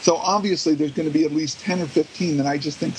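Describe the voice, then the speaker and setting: Speech at a fairly quick pace, with noticeable noise behind it. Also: man. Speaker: author. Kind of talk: casual chat.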